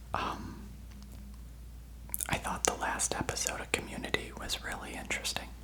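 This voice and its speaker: The speaker whispers at a moderate pace with long, frequent pauses. Background noise is noticeable. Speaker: ASMR creator. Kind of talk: ASMR whisper ramble. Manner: whispered.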